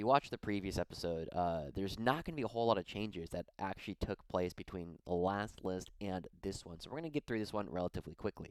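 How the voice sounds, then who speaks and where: Speaking at a very fast pace with hardly any pauses, a man with a fairly low pitch uses lively intonation in a dry, close recording with no echo. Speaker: wargaming YouTuber. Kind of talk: battle report recap.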